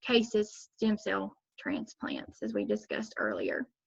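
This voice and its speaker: Here a woman talks at a moderate pace. Her pitch is fairly high. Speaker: nursing student. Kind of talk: class presentation. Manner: halting, many fillers.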